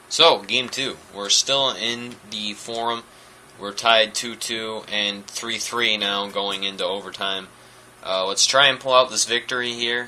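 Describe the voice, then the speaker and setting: Through noticeable background noise, a man talks at a fairly slow pace and medium pitch with fairly even intonation. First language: French. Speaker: gaming commentator. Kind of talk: gameplay commentary. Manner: nonchalant.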